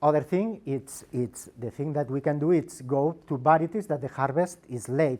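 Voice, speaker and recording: Speaking at a moderate pace, a man with a fairly high pitch has a dark, mellow tone and ordinary pitch variation. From Spain, Girona (Catalonia). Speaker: agricultural researcher. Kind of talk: presentation. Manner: halting, many repetitions.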